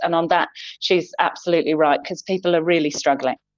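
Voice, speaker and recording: Talking at a fairly quick pace, a woman with a fairly low pitch has an unremarkable speaking voice and fairly even intonation. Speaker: UK correspondent reporting by call. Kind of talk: news correspondent report. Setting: remote link from the UK.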